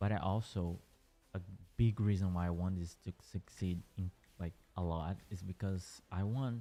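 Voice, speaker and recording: Over music in the background, a man speaks with a very deep, low pitch. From Brazil. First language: Portuguese. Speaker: gaming streamer. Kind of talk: casual livestream chat. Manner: hesitant, with fillers and restarts.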